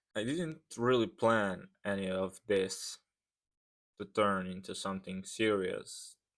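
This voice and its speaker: Speaking at a very slow pace, a man with a fairly low pitch and a non-native accent uses lively intonation in a very clean recording with a silent background. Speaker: fitness vlogger. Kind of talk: reading aloud. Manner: careful, reading from script.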